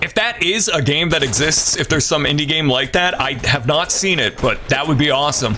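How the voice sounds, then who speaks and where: Over noticeable background noise, a man with a fairly high voice talks at a fairly quick pace with hardly any pauses, in an animated tone with lively intonation. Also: very even loudness. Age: 30s. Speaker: video game streamer. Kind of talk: casual live-stream gaming commentary. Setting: live stream.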